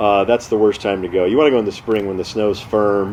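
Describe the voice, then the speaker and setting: Noticeable background noise sits behind a man with an American accent and a fairly low pitch. His tone is relaxed and his intonation monotone and flat. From California. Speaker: amateur mountaineer and storyteller. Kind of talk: casual storytelling to camera. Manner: conversational, relaxed.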